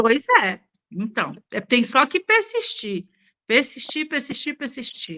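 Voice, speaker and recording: Raised and projected, a woman's high voice swings very widely in pitch while she speaks at a very slow pace. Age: 60s. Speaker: beauty professional, book club member. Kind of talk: book club discussion.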